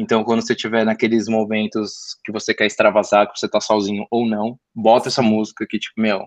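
Over a quiet background, a man with a São Paulo accent talks at a fairly quick pace, the sound dry and close with no echo. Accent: Brazilian Portuguese, São Paulo (paulistano). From São Paulo, North Zone. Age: 20s. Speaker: podcast guest, communications graduate. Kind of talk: casual interview chat about music.

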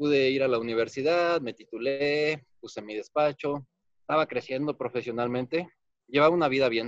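The sound is dry and close, with no echo. A man with an unremarkable speaking voice talks at a fairly high pitch and moderate pace, with fairly even intonation. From Guanajuato, Mexico. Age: 30s. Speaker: architect and accident survivor. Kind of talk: personal testimony.

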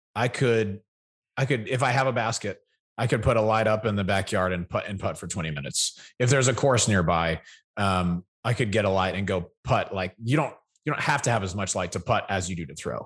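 With a plain, everyday voice, a man speaks at a fairly low pitch and a fairly quick pace. The pitch variation is ordinary and the background quiet. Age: 30s. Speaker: podcast co-host. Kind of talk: casual chat.

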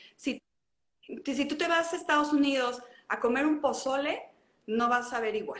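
At a fairly slow pace, a woman speaks with a high pitch and ordinary pitch variation, taking long, frequent pauses. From Mexico, León (Guanajuato). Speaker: traveler. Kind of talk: casual interview. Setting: livestream.

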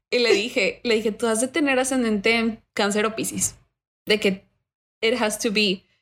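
In a normal speaking voice, a woman talks at a moderate pace with fairly high pitch and fairly even intonation, on a very clean recording with a silent background. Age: 20s. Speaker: university student. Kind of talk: interview.

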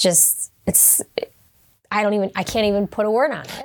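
A woman with a Buffalo accent. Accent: Western New York (Buffalo) American. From Western New York (Hamburg, near Buffalo). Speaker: fitness coach and business owner. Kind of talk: interview.

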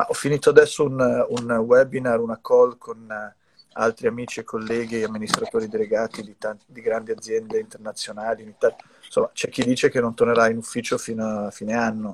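This man's volume rises and falls in big swings. His pace is fairly quick. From US, New York. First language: English (speaking Italian). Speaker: company executive. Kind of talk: casual interview. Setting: video call from brother's home music studio. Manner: halting, many repetitions.

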